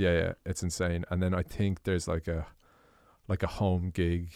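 A man speaks with an Irish accent in a dark, mellow tone at a very deep, low pitch. His pace is fairly slow, and the recording is very clean with a silent background. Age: 20s. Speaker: podcast host and drummer. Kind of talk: casual chat.

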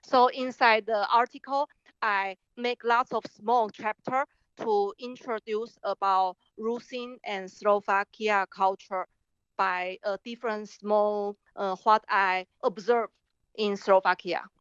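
A very slow-paced woman with a Chinese accent, fairly high pitch and fairly even intonation. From Taiwan. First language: Mandarin Chinese. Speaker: artist and filmmaker. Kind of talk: interview.

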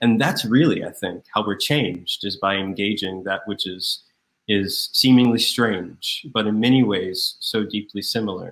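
A man's unremarkable speaking voice in an American accent, with ordinary pitch variation. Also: fairly low pitch for a man, moderate pace. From US South, Raleigh, North Carolina. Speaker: deacon. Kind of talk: interview.

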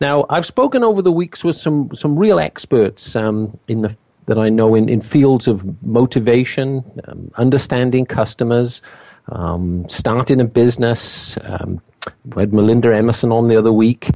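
This man has an unremarkable speaking voice at medium pitch. He keeps a moderate pace, very even loudness and ordinary pitch variation. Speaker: radio host. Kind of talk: radio interview on sales. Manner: casual, filler words, chatty.

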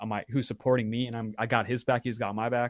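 In a dry, close sound with no echo, a man with an American accent speaks at a very fast pace and a medium pitch. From US West Coast (Walnut Creek, California). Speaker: student, music club member. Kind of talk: casual chat.

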